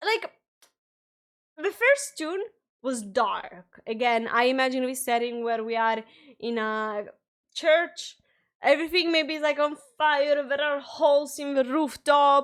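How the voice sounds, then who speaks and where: In a very clean recording with a silent background, a woman with a non-native accent speaks fairly slowly and high-pitched, her lively intonation broken by long, frequent pauses. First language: not English. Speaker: music reaction youtuber. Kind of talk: casual reaction commentary. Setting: live stream.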